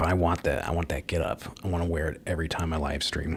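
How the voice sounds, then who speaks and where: Quiet and at a fairly quick pace, a man speaks with a very deep, low pitch and a monotone, flat intonation over noticeable background noise. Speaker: live streamer. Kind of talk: casual solo live stream monologue. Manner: quiet, holding back volume.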